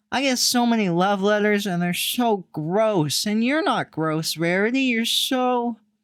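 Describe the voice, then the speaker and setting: A put-on character voice at a fairly high pitch runs on with hardly any pauses. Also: fairly slow pace. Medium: read story. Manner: rambling, excitable.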